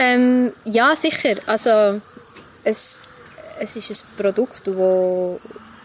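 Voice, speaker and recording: Very slowly, a woman speaks at a fairly high pitch with ordinary pitch variation. Background noise is noticeable. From Switzerland, Emmental (Langnau area). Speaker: barista and coffee roaster. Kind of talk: casual interview. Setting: outdoors at a restaurant.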